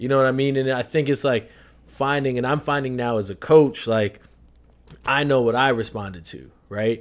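A man talks in a normal speaking voice with an American accent, medium in pitch with ordinary variation. The recording is very clean, the background silent. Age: 20s. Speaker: podcast co-host, soccer coach. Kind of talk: casual chat.

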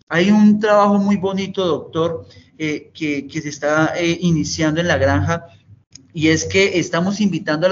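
The voice is a man's, pitched high. It shows ordinary pitch variation. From Colombia, Tolima (Ibagué). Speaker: director of a youth detention and rehabilitation center. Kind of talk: interview. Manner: halting, many fillers and repeats; formal.

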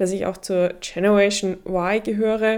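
On a very clean recording with a silent background, a woman talks at a medium pitch with fairly even intonation. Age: 30s. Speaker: journalism professor and podcast host. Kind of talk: solo podcast monologue.

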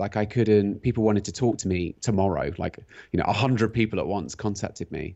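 A man has a normal speaking voice with a fairly low pitch. His pitch varies in an ordinary way. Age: 40s. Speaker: functional medicine practitioner and cyclist. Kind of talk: casual interview chat. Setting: phone or video call.

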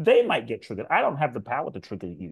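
A man speaks with vocal fry. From South London. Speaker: spiritual teacher and speaker. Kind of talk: interview.

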